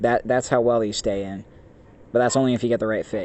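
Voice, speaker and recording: Speaking at a very fast pace, a man keeps his intonation monotone and flat. He hardly changes his pitch. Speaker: tech product reviewer. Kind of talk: casual product review monologue. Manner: stuttering, halting; rambling, informal.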